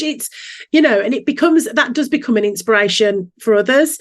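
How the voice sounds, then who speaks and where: With a Birmingham accent, a woman talks at a moderate pace. Her intonation is lively. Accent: Brummie. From Birmingham, England. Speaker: business coach. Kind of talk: podcast interview.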